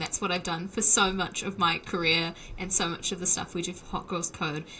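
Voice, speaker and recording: A woman's medium-pitched voice with a New Zealand accent at a moderate pace. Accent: Kiwi. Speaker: software developer, podcaster. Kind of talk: interview.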